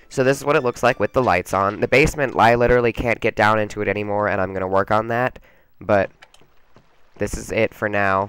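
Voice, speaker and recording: A man speaks at a fairly low pitch with fairly even intonation and long, frequent pauses. The sound is dry and close with no echo, and music plays in the background. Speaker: gaming YouTuber. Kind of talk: let's play commentary. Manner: casual, rambling with fillers.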